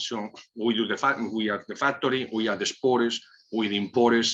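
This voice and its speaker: A man with a Spanish accent speaks at a medium pitch and a moderate pace. His tone is bright and sharp, with fairly even intonation. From Spain, Basque Country. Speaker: cigar company owner. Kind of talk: casual chat.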